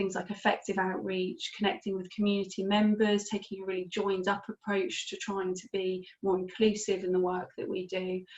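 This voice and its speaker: Speaking at a fairly quick pace, a woman keeps her medium-pitched voice in fairly even intonation. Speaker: webinar presenter on mental health services. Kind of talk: webinar presentation. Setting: video call webinar. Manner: fast.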